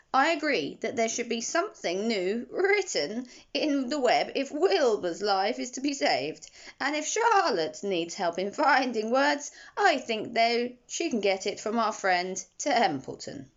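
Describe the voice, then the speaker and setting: Using a put-on character voice, a woman speaks fairly slowly at a fairly high pitch with very wide pitch swings. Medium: read story. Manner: persuasive, knowing.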